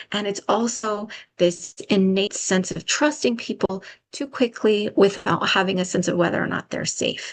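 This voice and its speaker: With an unremarkable speaking voice, a woman at medium pitch talks at a moderate pace and uses ordinary pitch variation. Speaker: public health trainer. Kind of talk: webinar presentation.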